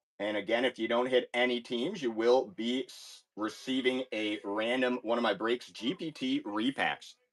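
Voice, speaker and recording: This man speaks at a moderate pace and a medium pitch, with ordinary pitch variation. His loudness swings widely. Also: hardly any pauses. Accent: Chicago. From US Midwest, Chicago. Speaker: card break streamer. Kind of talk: live stream sales break. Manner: animated.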